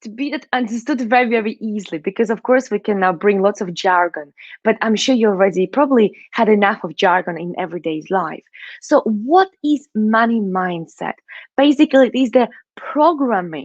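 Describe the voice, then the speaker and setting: With a Russian accent and lively intonation, the speaker talks at a moderate pace in a dry, close sound with no echo against a quiet background. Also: woman, fairly high pitch for a woman. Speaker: money mindset coach. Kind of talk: online summit talk.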